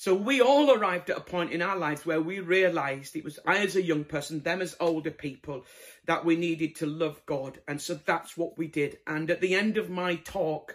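A man with a Yorkshire accent speaks at a moderate pace with a high pitch and ordinary pitch variation. The recording is very clean with a silent background. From northern England, Bradford (Yorkshire). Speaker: evangelist preacher. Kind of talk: sermon.

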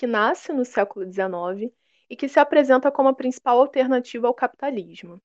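Speaking at a fairly quick pace, a woman uses an ordinary speaking voice with ordinary pitch variation. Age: 20s. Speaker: history teacher. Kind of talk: lecture.

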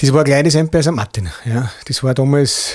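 With a Bavarian accent, a man talks at a moderate pace and medium pitch in a dark, mellow, somewhat breathy voice. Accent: Bavarian-like dialect. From Upper Austria, Mühlviertel. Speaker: author and motivational speaker, former club owner. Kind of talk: interview.

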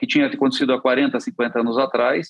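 A man talking at a fairly quick pace with very wide pitch swings. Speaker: politician. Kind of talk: interview.

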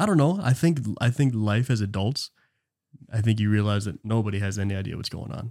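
This man has an unremarkable speaking voice, pitched fairly low, with ordinary pitch variation. He talks at a fairly quick pace. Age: 20s. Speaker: podcast co-host. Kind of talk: casual chat.

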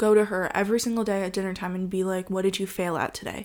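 A woman with a Californian accent speaks with fairly even intonation. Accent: Californian American. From US, Los Angeles. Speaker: host's partner. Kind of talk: casual chat. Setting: at home on the sofa.

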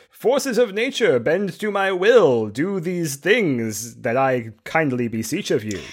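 A man puts on a theatrical character voice, fairly high in pitch with very wide pitch swings. He goes at a fairly slow pace with hardly any pauses. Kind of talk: grand, Shakespearean, declamatory. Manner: theatrical, commanding.

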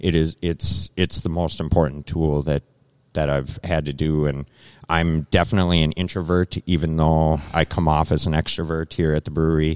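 On a very clean recording with a silent background and a dry, close sound with no echo, a man with an Upper Midwest accent speaks at a very deep, low pitch and moderate pace in a monotone, flat intonation. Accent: Upper Midwest (Minnesota). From Minnesota, Lake Minnetonka area. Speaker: brewery owner. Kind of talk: interview. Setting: live at a brewery.

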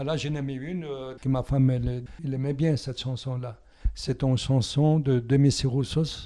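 A man's medium-pitched, dark, mellow voice in an Italian accent, monotone and flat, at a moderate pace. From southern Italy (Calabria). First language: Italian (speaking French). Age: 80s. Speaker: retired musician and painter. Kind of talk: personal interview testimony. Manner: halting, repeats words.

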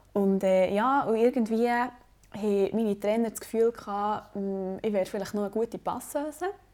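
A woman with a dark, mellow tone talks at a moderate pace, her medium pitch moving with ordinary variation. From Switzerland, Bernese Oberland. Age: 20s. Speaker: student podcast host, amateur volleyball player. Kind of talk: casual chat.

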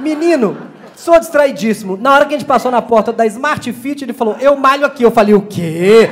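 Over noticeable background noise, a man with an extremely high pitch talks in an animated tone at a fairly quick pace, with ordinary pitch variation. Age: 40s. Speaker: comedian. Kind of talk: stand-up. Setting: stage with audience.

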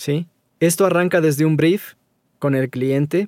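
On a very clean recording with a silent background and a dry, close sound with no echo, a man uses an ordinary speaking voice, fairly high in pitch, fairly slow and fairly even in intonation. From Ecuador. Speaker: voice-over artist. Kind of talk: interview conversation.

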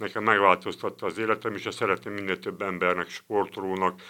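In a very clean recording with a silent background, a man talks fairly quickly at a fairly low pitch in a bright, sharp tone. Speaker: retired boxer and club president. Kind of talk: interview. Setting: studio.

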